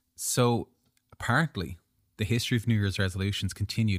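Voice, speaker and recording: In an ordinary speaking voice, a man talks at a fairly low pitch with ordinary pitch variation, recorded very cleanly against a silent background with a dry, close sound and no echo. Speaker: podcast host, writer and filmmaker. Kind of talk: casual chat.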